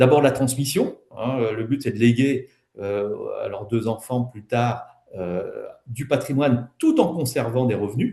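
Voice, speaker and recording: At a fairly slow pace, a man speaks at a medium pitch. His voice is somewhat breathy. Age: 60s. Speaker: wealth management advisor and property developer. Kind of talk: webinar presentation. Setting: online webinar. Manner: hesitant, many fillers.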